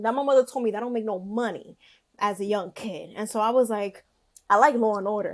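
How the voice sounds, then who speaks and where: In a Bronx accent, a woman talks at a very fast pace in a fairly high, animated voice with ordinary pitch variation. Her loudness swings widely, and the recording is very clean over a silent background. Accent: New York, Bronx. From New York, the Bronx. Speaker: podcast guest, content creator. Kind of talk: casual chat.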